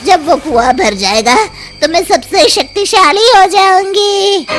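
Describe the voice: A cackling, cartoonish character voice from a woman, extremely high-pitched and fairly slow, amid clear background noise.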